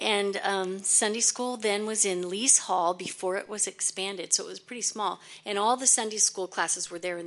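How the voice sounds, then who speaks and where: A woman with an American accent and a normal speaking voice talks at a fairly quick pace in a medium pitch, with fairly even intonation and big swings in loudness. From California. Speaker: church member. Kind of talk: personal tribute.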